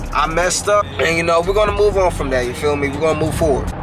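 A man talks while clear music sounds in the background. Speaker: vlogger. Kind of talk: casual vlog chat. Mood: reflective, apologetic. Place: car. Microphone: phone near.

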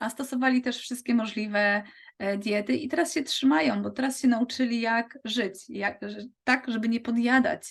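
A woman's fairly high voice moves at a moderate pace, its pitch varying in an ordinary way. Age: 40s. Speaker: physiotherapist and network marketing recruiter. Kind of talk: sales pitch.

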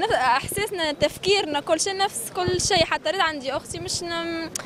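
Fairly slow speech in a dry sound with no echo, amid noticeable background noise. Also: woman. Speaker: interviewee. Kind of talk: interview answer. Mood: cheerful, laughing. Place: street. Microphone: handheld.

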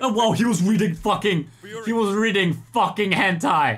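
At a moderate pace, a man talks in a high pitch with a fairly bright tone and ordinary pitch variation.

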